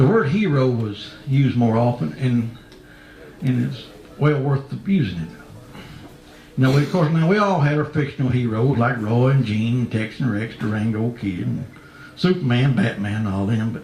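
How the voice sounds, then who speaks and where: Music plays in the background. A man with a medium pitch speaks with lively intonation. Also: moderate pace. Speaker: cowboy poet. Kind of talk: storytelling introduction. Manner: folksy, humorous.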